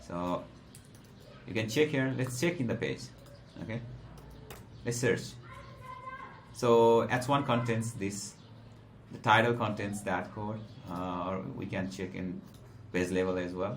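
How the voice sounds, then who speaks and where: In a Nepali accent, a man speaks fairly slowly in a fairly low voice with ordinary pitch variation and long, frequent pauses, amid noticeable background noise and audible room echo. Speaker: SEO trainer. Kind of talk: tutorial. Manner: halting, many fillers.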